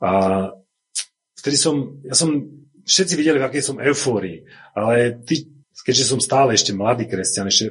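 A somewhat breathy male voice at a moderate pace. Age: 40s. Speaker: church member giving testimony. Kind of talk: testimony.

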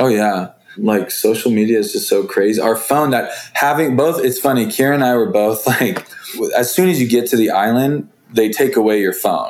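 With an American accent, this speaker has a normal speaking voice, very even loudness and a moderate pace. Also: man, medium pitch for a man, ordinary pitch variation. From US West Coast. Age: 20s. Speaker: reality TV contestant. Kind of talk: casual chat.

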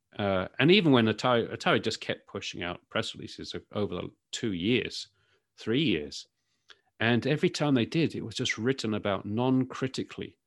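Very clean recording with a silent background of a man with a British accent, medium pitch and lively intonation. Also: moderate pace. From United Kingdom. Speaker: tech journalist. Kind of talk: casual interview. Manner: hesitant, filler words.

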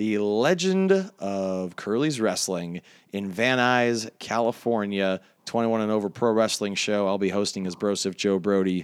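In a plain, everyday voice, a man speaks at a fairly slow pace and a fairly low pitch. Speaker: podcast host and wrestling commentator. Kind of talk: casual interview chat.

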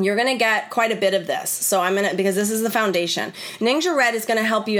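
Noticeable noise runs underneath the recording. The woman's pitch varies in an ordinary way. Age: 40s. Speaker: wellness educator and podcast host. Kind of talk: live online class. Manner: animated.

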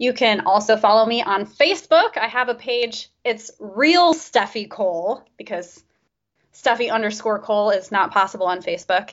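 A woman's fairly high-pitched, moderate-paced delivery with ordinary pitch variation, an unremarkable speaking voice. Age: 30s. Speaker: libertarian YouTuber. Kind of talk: casual interview chat.

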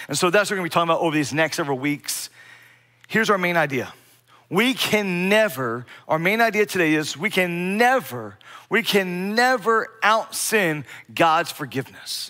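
A man with an American accent talks at a moderate pace in a high voice with lively intonation and a bright, sharp tone. The recording is very clean, with a silent background. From US Mid-Atlantic (Bear, Delaware). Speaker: pastor. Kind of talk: sermon. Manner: repetitive false starts, stammering restarts.

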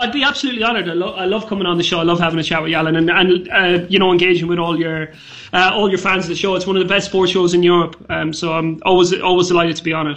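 Amid noticeable background noise and audible room echo, a man with a high pitch talks at a very fast pace with fairly even intonation. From Ireland, County Mayo. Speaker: football journalist. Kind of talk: casual interview.

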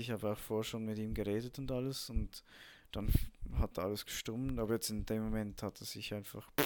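The audio is very clean, and nothing can be heard in the background. A man talks at a moderate tempo. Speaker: podcaster, army cook. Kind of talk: casual monologue. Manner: halting, many fillers.

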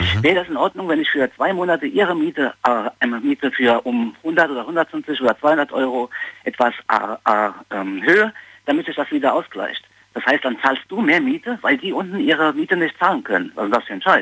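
A man's fairly high, bright, sharp voice with vocal fry, very wide pitch swings and a moderate pace, in a dry, close sound with no echo. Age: 40s. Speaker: caller. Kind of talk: phone-in opinion. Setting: phone call.

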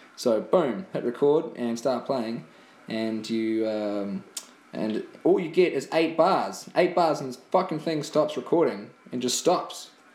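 A man with a New Zealand accent, fairly high pitch, lively intonation and a fairly slow pace. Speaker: podcast co-host. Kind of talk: casual chat. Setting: at home, recording on an iPad.

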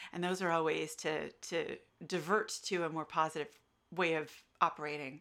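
A woman with an American accent speaks at a moderate pace and a fairly low pitch, her tone bright and sharp and her intonation monotone and flat. The recording is very clean, with a silent background. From United States. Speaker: associate professor. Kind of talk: academic interview.

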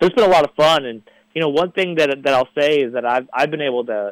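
Delivered in a Midwestern American accent at a very fast pace, this voice shows ordinary pitch variation in a dry, close sound with no echo. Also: man. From northern Indiana, Crown Point. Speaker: sports editor, journalist. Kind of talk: radio sports talk. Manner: hesitant, many fillers.

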